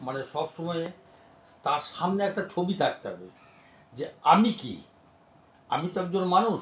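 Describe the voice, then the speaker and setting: A man talks in a high voice with ordinary pitch variation. His loudness swings widely. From West Bengal, India (Birbhum, Bolpur). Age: 70s. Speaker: village doctor. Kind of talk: interview. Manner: halting.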